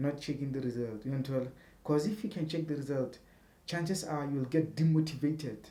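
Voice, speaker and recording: This man speaks at a fairly quick pace with a South African accent. His voice is fairly high-pitched, somewhat breathy, and dark and mellow in tone. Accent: South African non-native English. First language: a South African language other than English. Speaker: YouTuber. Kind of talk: tutorial. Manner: casual, repetitive, halting.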